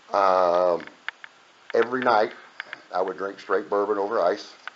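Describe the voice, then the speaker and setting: Over noticeable background noise, a man speaks at a fairly low pitch with fairly even intonation. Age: 60s. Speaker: recovering alcoholic sharing his story. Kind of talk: testimony. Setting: meeting room with audience.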